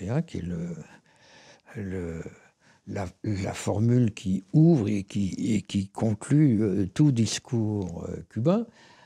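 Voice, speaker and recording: A man with a fairly low pitch and a dark, mellow tone speaks with lively intonation and a somewhat breathy quality, his voice dry and close with no echo on a very clean recording over a silent background. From Paris, France. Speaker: writer and philosopher. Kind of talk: interview answer.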